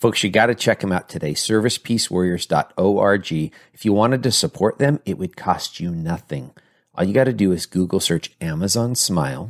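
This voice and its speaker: In an ordinary speaking voice, a man talks at a moderate pace and a fairly low pitch with lively intonation, on a very clean recording with a silent background and a dry, close sound with no echo. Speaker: podcast host. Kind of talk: casual interview.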